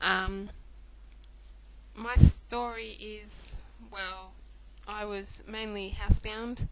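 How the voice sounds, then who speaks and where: Noticeable background noise sits behind a woman with an Australian accent. Her medium-pitched voice stays monotone and flat. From Australia (Melbourne). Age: 20s. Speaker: chronic illness patient sharing story. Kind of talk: personal testimony vlog. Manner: hesitant, many fillers.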